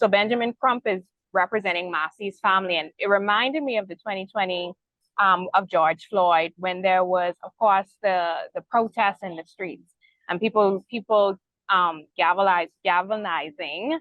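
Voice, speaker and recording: A woman with a Bahamian accent speaks at a moderate pace and medium pitch, with ordinary pitch variation and big swings in loudness. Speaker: news show host moderating panel. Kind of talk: news discussion panel.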